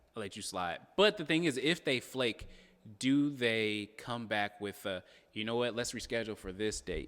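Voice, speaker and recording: A man with an American accent speaks at a medium pitch in a bright, sharp tone, his loudness swinging widely. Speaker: channel host's fiance. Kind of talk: casual chat.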